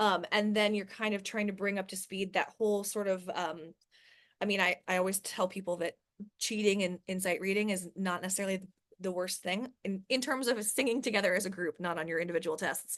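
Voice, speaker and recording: Against a quiet background, a woman with a normal speaking voice talks at medium pitch and a fairly quick pace. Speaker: choir director and voice instructor. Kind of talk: lecture.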